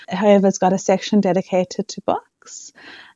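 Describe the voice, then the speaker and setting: A woman with a South African accent speaks at a moderate pace. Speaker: book vlogger. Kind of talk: casual vlog chat.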